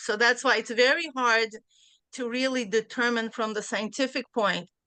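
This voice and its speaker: Against a quiet background, a woman with a Central Asian accent speaks at a moderate pace in a bright, sharp tone with a fairly high pitch and ordinary pitch variation. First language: Bukharian. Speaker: class participant. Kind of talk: discussion in a study class. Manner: hesitant, many fillers.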